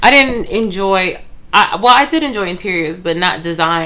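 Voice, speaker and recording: The intonation is lively. The tone comes across bright and sharp. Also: woman. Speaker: hairstylist co-host. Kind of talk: casual chat.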